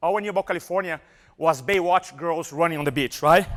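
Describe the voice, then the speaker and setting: A man's high-pitched, animated voice with a strong Brazilian accent, fairly quick in pace with ordinary pitch variation, in a very clean recording with a silent background. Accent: Brazilian Portuguese accent, thick. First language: Portuguese. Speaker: motivational speaker. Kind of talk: live seminar talk. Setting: stage with audience.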